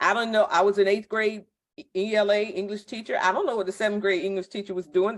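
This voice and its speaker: This woman has an American accent and a medium pitch, and she talks at a fairly quick pace. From Virginia, Virginia Beach/Chesapeake area. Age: 50s. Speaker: school network recruitment leader, former teacher. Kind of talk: informational presentation. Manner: animated, dramatic.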